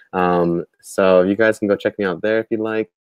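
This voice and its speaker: A man with an American accent speaks at a fairly quick pace. His pitch is fairly low, and his intonation is fairly even. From US West, Portland, Oregon. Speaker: crypto news youtuber. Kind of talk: casual chat. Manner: fast.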